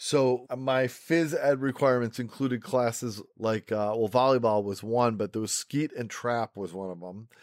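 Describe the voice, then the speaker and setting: A man at a medium pitch in an ordinary speaking voice, with ordinary pitch variation and a moderate pace, the sound dry and close with no echo on a very clean recording with a silent background. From Rochester, New York. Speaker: podcast host. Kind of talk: casual interview chat.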